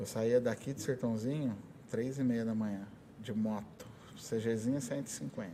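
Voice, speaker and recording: A man's medium-pitched voice at a very slow pace. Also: ordinary pitch variation. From Brazil, São Paulo state (Ribeirão Preto area). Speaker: conductor and music teacher. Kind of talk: interview. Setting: school podcast recording.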